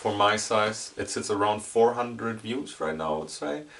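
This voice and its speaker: With a German accent, a man speaks at a moderate pace and fairly low pitch with ordinary pitch variation, amid noticeable background noise. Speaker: YouTuber. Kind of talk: casual vlog monologue. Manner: halting.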